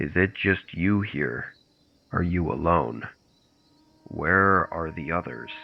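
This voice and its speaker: Putting on a character voice, a man speaks at a very deep, low pitch at a fairly slow pace with long, frequent pauses. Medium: read story. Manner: slow, unsettling.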